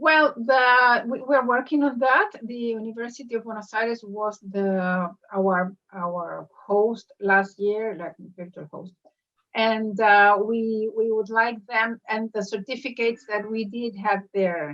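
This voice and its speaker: A woman talks very slowly in a Spanish accent at a fairly high pitch. Her loudness swings a lot, while her pitch varies an ordinary amount. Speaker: professor, school director. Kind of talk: interview. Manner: halting.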